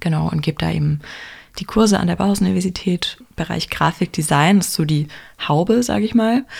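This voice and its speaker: The voice moves at a fairly quick pace with lively intonation and vocal fry. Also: woman, fairly low pitch for a woman. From Heidelberg-Mannheim region, Germany. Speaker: graphic designer and university lecturer. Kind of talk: interview.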